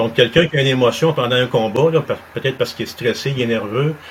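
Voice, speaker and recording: A man's plain, everyday voice at medium pitch with fairly even intonation. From Montreal, Quebec. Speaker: martial arts instructor. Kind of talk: interview.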